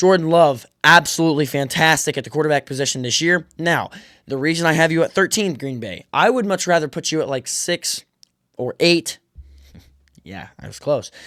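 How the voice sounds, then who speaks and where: Big swings in loudness mark a man's speech with ordinary pitch variation, in a very clean recording with a silent background and a dry, close sound with no echo. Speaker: sports podcaster. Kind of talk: casual sports commentary monologue. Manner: fast; animated.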